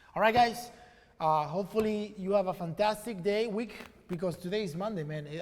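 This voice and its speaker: Fairly quick speech from a man with a high pitch, over noticeable background noise. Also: ordinary pitch variation. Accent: non-native. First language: not English. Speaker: e-commerce entrepreneur and live stream host. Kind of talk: casual live stream chat. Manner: casual, with many fillers.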